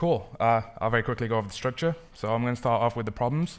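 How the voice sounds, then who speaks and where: A man talks at a very fast pace and medium pitch. The recording is very clean with a silent background. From northern England, Manchester. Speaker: software engineer, conference speaker. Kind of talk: conference talk. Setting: stage with audience. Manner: casual, many fillers.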